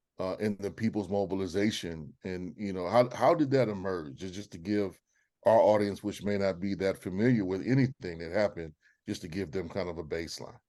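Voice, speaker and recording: Against a quiet background, a man with a Southern US accent talks fairly quickly in a very deep, dark, mellow voice with ordinary pitch variation. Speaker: webinar host, moderator. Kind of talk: panel discussion, interview questions. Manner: halting, many fillers.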